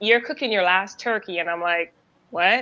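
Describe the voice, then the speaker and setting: A woman speaks in a bright, sharp tone with ordinary pitch variation against a quiet background. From Caribbean. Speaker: army veteran sharing infertility testimony. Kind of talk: testimony.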